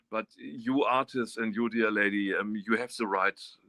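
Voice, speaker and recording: In a dry, close recording with no echo, a man with a fairly low pitch and a bright, sharp tone talks at a moderate pace. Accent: German. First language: German. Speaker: artist. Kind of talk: interview. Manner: halting.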